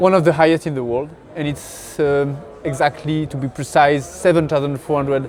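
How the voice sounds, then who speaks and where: A man speaks with a French accent and ordinary pitch variation. Noticeable background noise can be heard. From France. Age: 30s. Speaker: pro alpinist and mountain guide. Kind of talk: interview. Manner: halting.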